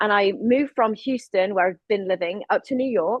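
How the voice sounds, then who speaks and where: With an English accent, a woman talks at a moderate pace in a fairly high pitch, her intonation fairly even. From England. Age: 40s. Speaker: filmmaker and activist. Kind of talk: panel discussion.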